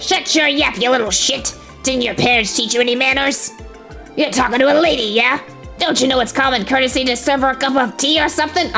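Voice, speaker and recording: Against clear music in the background, a woman puts on a high-pitched character voice at a fairly quick pace. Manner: grumpy, bossy, scolding.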